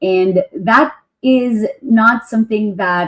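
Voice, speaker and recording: Her voice is fairly high and somewhat breathy, with ordinary pitch variation. The woman speaks at a very slow pace, in a dry, close sound with no echo. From Philippines. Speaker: podcast host and professional dancer. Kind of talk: interview.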